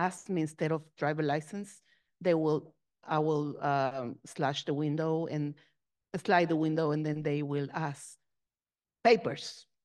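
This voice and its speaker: A woman with a Spanish accent, very deep, low pitch, ordinary pitch variation and a fairly slow pace, over a quiet background. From Mexico. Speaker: Episcopal minister. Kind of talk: panel discussion.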